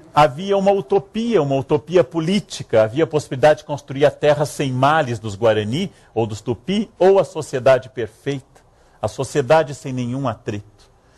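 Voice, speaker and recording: A man's somewhat breathy, fairly high-pitched voice with lively intonation at a moderate pace. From Rio Grande do Sul, Brazil. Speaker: historian, lecturer. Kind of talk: public lecture. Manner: humorous, ironic.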